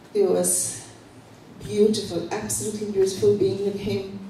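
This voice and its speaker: There is light background noise and audible room echo. A woman is speaking. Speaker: guest. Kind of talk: formal introduction speech. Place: hall.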